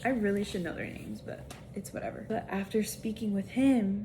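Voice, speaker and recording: A woman speaks with fairly even intonation in a somewhat breathy voice of dark, mellow tone. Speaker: book vlogger. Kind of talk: casual vlog talk to camera. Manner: casual, filler-heavy.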